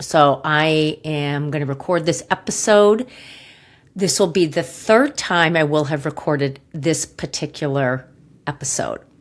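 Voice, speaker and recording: A woman with a very deep, low voice speaks at a fairly slow pace with ordinary pitch variation, on a very clean recording with a silent background. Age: 60s. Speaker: podcast host, gut health practitioner. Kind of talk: personal storytelling podcast. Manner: halting, with many fillers.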